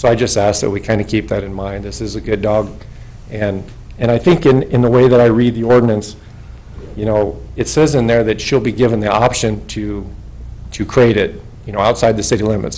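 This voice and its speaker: Fairly low-pitched and fairly quick, a man speaks with fairly even intonation. Audible room echo and noticeable background noise surround the voice. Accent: American. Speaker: retired police officer speaking at public hearing. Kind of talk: public comment at council meeting. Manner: loud.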